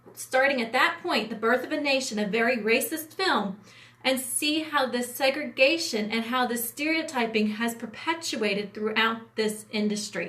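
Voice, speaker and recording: A woman's high-pitched voice with an American accent, over noticeable background noise. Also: ordinary pitch variation. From US Appalachia. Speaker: entertainment industry producer. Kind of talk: livestream talk. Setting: livestream. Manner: fast; hesitant with fillers.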